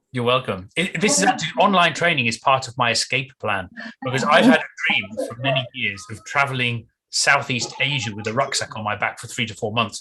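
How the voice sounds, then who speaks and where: With a southern English accent, a man at medium pitch speaks with lively intonation and big swings in loudness. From southern England, Windsor. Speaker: business English trainer. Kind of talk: casual chat.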